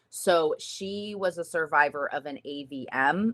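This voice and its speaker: Animated delivery in a bright, sharp tone with ordinary pitch variation. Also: woman. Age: young. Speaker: stroke survivor and live stream co-host. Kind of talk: casual live stream chat. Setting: live stream. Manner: animated, frequent fillers.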